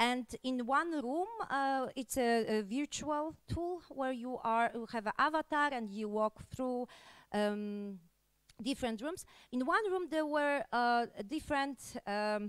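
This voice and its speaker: A woman's high voice at a very slow pace, dry with no echo, over a quiet background. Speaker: conference presenter. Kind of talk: conference talk. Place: hall. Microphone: handheld.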